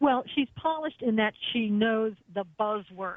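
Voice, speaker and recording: A woman with an American accent talks at a moderate pace. She has an ordinary speaking voice with a fairly high pitch. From US East Coast. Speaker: radio host and former attorney, guest. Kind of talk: radio talk show discussion.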